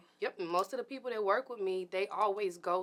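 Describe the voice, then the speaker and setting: Speaking with an American accent, a woman uses ordinary pitch variation. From Birmingham, Alabama, US South. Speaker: model and fashion show organizer. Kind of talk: interview.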